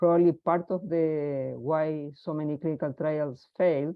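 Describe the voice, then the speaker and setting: With a Spanish accent, a woman speaks in a very deep, low pitch and fairly even intonation. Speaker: research scientist. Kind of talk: webinar Q&A.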